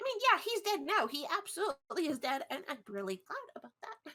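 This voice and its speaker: In a put-on character voice, a woman sounds bubbly and squeaky, her extremely high pitch swinging very widely at a fairly quick pace. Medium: actual play. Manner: bubbly, rambling.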